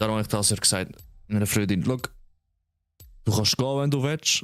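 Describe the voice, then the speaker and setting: With a Swiss German accent, the speaker has an animated tone and a moderate pace. The sound is dry and close, with no echo. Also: man. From Switzerland. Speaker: streamer. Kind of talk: live gameplay stream chat. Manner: casual, animated.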